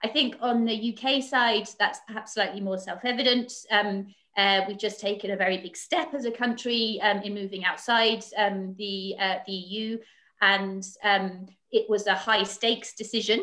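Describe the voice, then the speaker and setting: This woman's voice sits fairly high, with a bright, sharp tone and fairly even intonation. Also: moderate pace. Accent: British. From Britain. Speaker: foreign policy analyst. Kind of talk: panel discussion. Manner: halting, many fillers.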